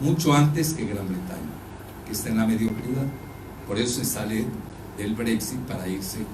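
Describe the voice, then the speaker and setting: A man with lively intonation speaks at a moderate pace, with noticeable background noise and audible room echo around him. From Mexico. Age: 70s. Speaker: geopolitical analyst. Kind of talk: lecture. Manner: conversational, addresses audience directly.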